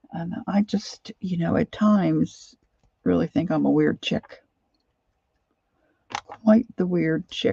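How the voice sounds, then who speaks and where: In a raspy, put-on character voice, a woman at a medium pitch speaks at a fairly slow pace with long, frequent pauses. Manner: amused, self-deprecating.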